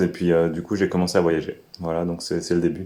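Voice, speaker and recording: With a dark, mellow tone, a man speaks at a very deep, low pitch. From France, Alsace. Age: 30s. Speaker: permaculture farmer. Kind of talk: interview. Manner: halting, many fillers.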